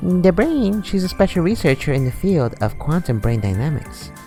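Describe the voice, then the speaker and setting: A put-on character voice, strained and middle-pitched, at a moderate pace over clear background music. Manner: a forced attempt.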